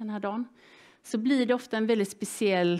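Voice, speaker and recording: The setting behind her is quiet. A woman talks with ordinary pitch variation. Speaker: seminar moderator. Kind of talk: event introduction to audience. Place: hall.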